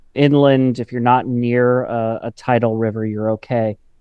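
In a normal speaking voice, a man of medium pitch talks at a fairly slow pace. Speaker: environmental journalist. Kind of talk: radio interview.

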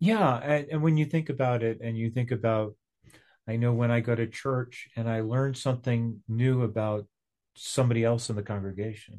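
Against a quiet background, a man with a dark, mellow tone speaks at medium pitch and a moderate pace with fairly even intonation. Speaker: co-host. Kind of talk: casual conversation. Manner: laid-back, chuckling.

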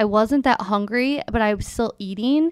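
The woman's voice sits high in pitch and moves with ordinary variation. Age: 30s. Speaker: patient. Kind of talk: personal testimony in interview.

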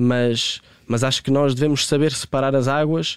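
The recording is very clean, with a silent background and a dry, close sound that has no echo. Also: man. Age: 20s. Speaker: football coach and commentator. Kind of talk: interview.

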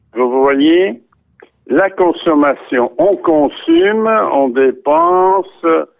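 Lively intonation carries the speech along at a very slow pace. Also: man. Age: 80s+. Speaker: Holocaust survivor. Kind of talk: interview. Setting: phone call.

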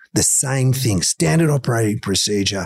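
A man with an Australian accent talks at a fairly quick pace, somewhat breathy and with lively intonation. The sound is dry and close, with no echo. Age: 60s. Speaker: motivational coach. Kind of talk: interview. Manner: animated.

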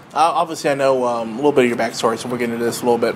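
Over noticeable background noise, a man with a medium pitch talks very fast in fairly even intonation. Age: 40s. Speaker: podcast host. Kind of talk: casual interview.

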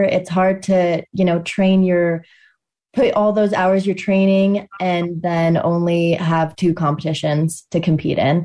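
In an American accent, a woman speaks fairly slowly at a fairly low pitch, with a dark, mellow tone. Her intonation is flat and monotone, and the background is quiet. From Colorado. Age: 20s. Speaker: Nordic combined athlete. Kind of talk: interview.

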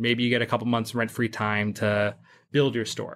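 A man with a normal speaking voice and medium pitch talks at a fairly quick pace in a very clean recording with a silent background. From England (born New York, moved at ten). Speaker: commercial real estate broker. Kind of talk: roundtable discussion.

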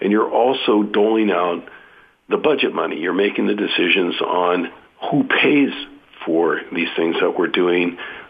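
Speaking with a Californian accent, a man keeps his loudness very even. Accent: General American (Californian). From US West Coast, San Jose, California. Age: 60s. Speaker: county politician. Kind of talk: radio interview.

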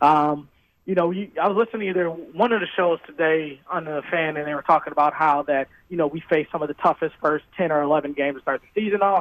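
At a fairly quick pace, a man with a normal speaking voice and fairly high pitch talks with ordinary pitch variation. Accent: American. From Wisconsin, Milwaukee. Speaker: radio caller. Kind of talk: call-in chat. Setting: phone call.

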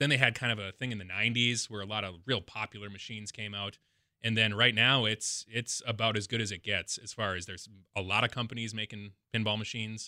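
The recording is very clean, with a silent background and a dry, close sound with no echo. The tone is bright and sharp, the delivery very fast and monotone, with flat intonation. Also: man, fairly low pitch for a man. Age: 40s. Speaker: pinball champion. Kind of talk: casual interview. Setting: radio studio.

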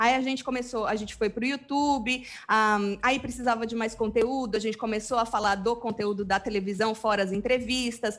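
On a very clean recording with a silent background, a woman of fairly high pitch speaks at a moderate pace with fairly even intonation and hardly any pauses. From São Paulo state, Brazil (interior). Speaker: web TV presenter. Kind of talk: casual chat.

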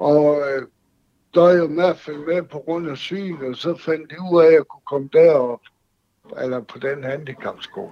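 A man with a normal speaking voice and a fairly high pitch speaks with ordinary pitch variation and big swings in loudness. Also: fairly slow pace. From Denmark, Aalborg. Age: 60s. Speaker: caller. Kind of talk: phone-in conversation.

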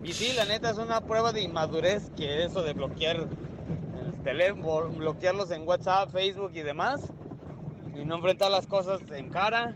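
The speech moves at a moderate pace with ordinary pitch variation, over noticeable background noise. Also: man. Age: 20s. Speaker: caller. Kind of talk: casual chat. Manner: animated.

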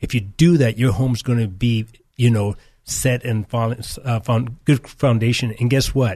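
Against a quiet background, a man speaks at a moderate pace and medium pitch, his tone dark and mellow and somewhat breathy. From California, partly raised in Nicaragua. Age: 50s. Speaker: church elder. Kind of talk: interview testimony.

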